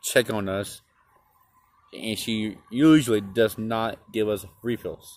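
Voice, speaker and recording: This man has a fairly low pitch and fairly even intonation. He talks at a very slow pace, and the sound is dry with no echo. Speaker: restaurant reviewer. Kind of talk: casual vlog chat. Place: street. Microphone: phone near.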